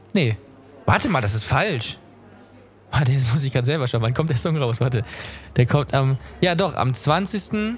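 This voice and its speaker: With long, frequent pauses, a man speaks in a somewhat breathy voice using lively intonation. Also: medium pitch for a man, moderate pace. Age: young. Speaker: podcast host and musician. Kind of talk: casual chat.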